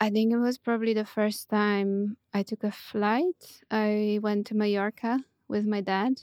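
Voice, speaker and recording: A woman's fairly high, monotone voice with a Polish accent, fairly slow with hardly any pauses, dry and close with no echo, on a very clean recording with a silent background. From Poland, near Poznań. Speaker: architect and writer. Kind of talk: interview. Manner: hesitant, many fillers.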